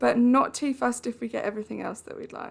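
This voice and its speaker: A woman speaks with an Essex accent. Her pace is fairly quick. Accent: Essex accent, drops T's. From Essex, England. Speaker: video game streamer. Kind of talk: live stream gameplay chat. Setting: live stream. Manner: chatty, conversational.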